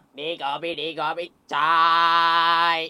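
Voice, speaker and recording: This put-on character voice sits at a middle pitch. Its intonation is monotone and flat. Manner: loud sing-song hawker call.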